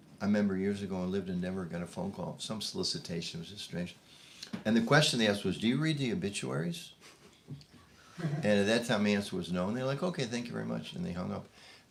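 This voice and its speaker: Over noticeable background noise, the voice moves at a very fast pace with lively intonation. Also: man, fairly low pitch for a man. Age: 70s. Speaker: spiritual teacher. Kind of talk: informal talk to a group. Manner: casual, halting with repetitions.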